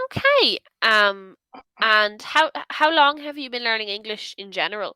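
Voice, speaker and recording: With an Irish accent, a woman of fairly high pitch speaks at a moderate pace in a bright, sharp tone, with ordinary pitch variation, big swings in loudness, and dry, close sound with no echo. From Ireland, Dublin area. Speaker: online English tutor. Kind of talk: casual conversation lesson.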